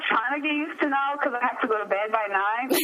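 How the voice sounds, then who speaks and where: Amid noticeable background noise, a high-pitched woman speaks with lively intonation. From abroad, moved to US at 13. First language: not English. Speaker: radio host. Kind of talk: interview.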